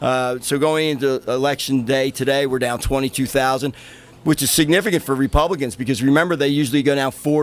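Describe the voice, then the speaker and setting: A man with a Philadelphia accent, fairly high-pitched for a man, speaking at a fairly quick pace with fairly even intonation over noticeable background noise. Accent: Philadelphia-area American. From US, Pennsylvania, Montgomery County. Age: 60s. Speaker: local Republican party official. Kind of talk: live interview.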